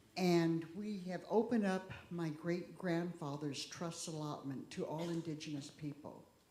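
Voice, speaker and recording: A woman's dark, mellow tone with ordinary pitch variation and audible room echo. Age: 60s. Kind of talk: talk at a church service.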